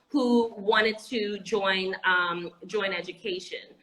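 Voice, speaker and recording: There's noticeable background noise as a woman with an American accent speaks at medium pitch. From Anguilla. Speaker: educator and entrepreneur. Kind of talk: interview. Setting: live video stream.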